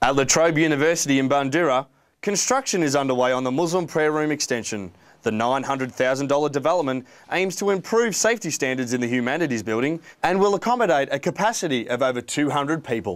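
An unremarkable speaking voice from a man, fairly high in pitch, moving at a fairly quick pace with lively intonation and very even loudness. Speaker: student news reporter. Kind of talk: news reading, scripted three-minute news piece. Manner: formal, even, scripted broadcast delivery.

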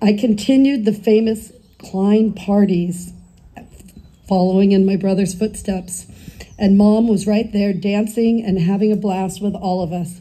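A woman with an American accent speaks at a fairly slow pace in a dark, mellow tone. Her voice is somewhat breathy, with monotone, flat intonation. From Northern California. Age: 60s. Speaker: daughter of the deceased giving eulogy. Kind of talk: eulogy reading. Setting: memorial gathering with audience, partly outdoors. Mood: tender, solemn remembrance. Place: garden. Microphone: camera far.

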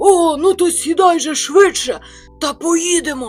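A put-on character voice moves at a fairly slow pace while faint music plays in the background. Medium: read story.

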